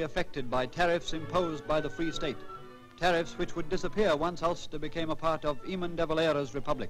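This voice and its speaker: Music plays behind a man speaking at a fairly quick pace. His pitch is fairly high. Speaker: newsreel announcer. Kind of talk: vintage newsreel narration. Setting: old archival recording. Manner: formal, brisk, authoritative.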